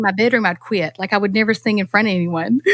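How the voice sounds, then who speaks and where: With a North Carolina accent, a woman talks at a very fast pace in a fairly high voice with ordinary pitch variation, captured with a dry, close sound and no echo. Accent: North Carolina Southern. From North Carolina, US South. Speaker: singer-songwriter. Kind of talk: casual interview chat. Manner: animated.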